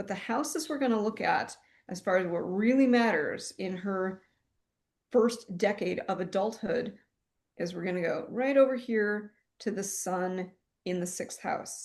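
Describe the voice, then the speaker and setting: The speaker talks at a fairly slow pace. Pitch varies in an ordinary way. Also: woman. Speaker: astrologer, podcast co-host. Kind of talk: casual conversational analysis.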